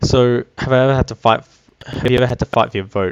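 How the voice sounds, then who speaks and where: The speech moves at a fairly quick pace with ordinary pitch variation, in a dry, close sound with no echo. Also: man. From Australia. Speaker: gaming YouTuber. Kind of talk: casual commentary over gameplay. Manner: hesitant, many fillers.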